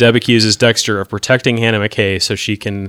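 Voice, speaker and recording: In a very clean recording with a silent background and a dry, close sound with no echo, a man with a normal speaking voice and a fairly low pitch talks at a fairly quick pace with fairly even intonation. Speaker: podcast host. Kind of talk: casual podcast chat discussing a TV episode.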